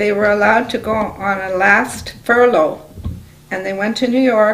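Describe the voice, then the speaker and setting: A woman's fairly high voice with a Canadian accent, ordinary pitch variation and light background noise. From Toronto, Canada. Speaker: oral history interviewee. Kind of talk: interview answer. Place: office.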